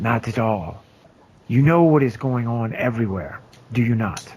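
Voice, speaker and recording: Here a man does a put-on character voice. It sits at a medium pitch and moves at a moderate pace. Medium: actual play. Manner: formal, measured.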